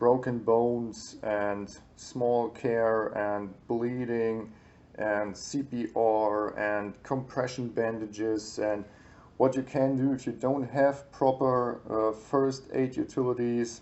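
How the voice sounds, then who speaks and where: A man with a German accent at a medium pitch, very slow in pace, with monotone, flat intonation. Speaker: YouTuber reviewing survival books. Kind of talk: book review. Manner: hesitant, many fillers.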